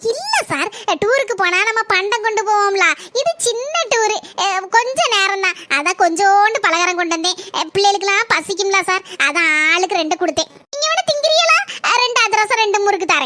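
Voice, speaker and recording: In a cartoonish character voice, a woman speaks at a moderate pace with extremely high pitch, lively intonation and very even loudness. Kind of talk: comic overacting. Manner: warm, chatty.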